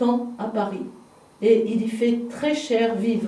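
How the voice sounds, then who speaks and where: A woman talks at a very slow pace. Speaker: local heritage guide. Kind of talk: guided house tour, casual explanation.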